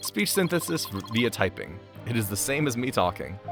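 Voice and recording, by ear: A man's robotic, put-on character voice, medium in pitch, at a moderate pace with clear music in the background.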